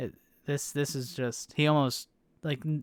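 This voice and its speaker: In a very clean recording with a silent background and a dry, close sound with no echo, a man with an American accent talks at a moderate pace and medium pitch. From United States. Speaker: motorsport podcast host. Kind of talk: casual chat.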